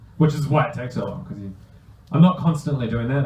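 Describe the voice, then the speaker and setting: A man's voice comes with audible room echo. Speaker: comic artist. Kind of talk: bookstore talk Q&A, casual interview. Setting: bookstore event with audience and microphone. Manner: halting, many fillers.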